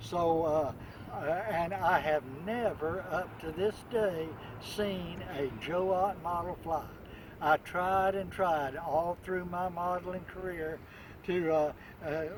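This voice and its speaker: Over noticeable background noise, a man speaks very slowly at a high pitch with fairly even intonation. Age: 80s+. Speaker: model airplane hobbyist. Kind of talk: casual video introduction. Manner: halting, many fillers.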